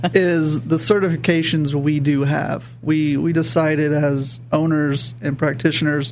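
Over noticeable background noise, a man with a fairly high voice speaks at a fairly slow pace, with hardly any pauses and fairly even intonation. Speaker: physical therapist. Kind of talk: radio interview. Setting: studio.

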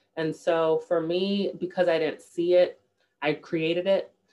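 A woman's normal speaking voice at a fairly slow pace, fairly low in pitch. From New York, the Bronx. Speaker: diversity professional and children's author. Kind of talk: interview.

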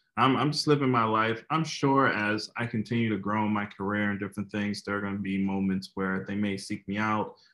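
A man with an American accent, an ordinary speaking voice, fairly low pitch and a fairly quick pace. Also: quiet background. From New Jersey, US. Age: 20s. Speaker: motivational speaker. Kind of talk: interview testimony.

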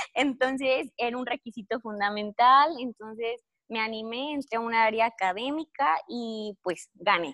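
Bright, sharp tone at a fairly slow pace, hardly any pauses, ordinary pitch variation, dry and close with no echo. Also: woman, fairly high pitch for a woman. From Mexico, Guanajuato (Cortázar). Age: 20s. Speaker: recent university graduate, exchange student. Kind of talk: interview.

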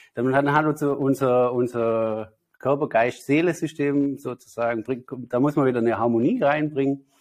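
A man with a fairly high pitch and ordinary pitch variation talks at a fairly slow pace. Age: 30s. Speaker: spiritual healer and meditation teacher. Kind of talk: interview.

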